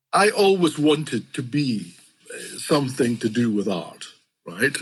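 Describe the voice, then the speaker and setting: A man with a Scottish accent speaks with very wide pitch swings. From Scotland. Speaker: fantasy illustrator. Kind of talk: interview. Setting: podcast.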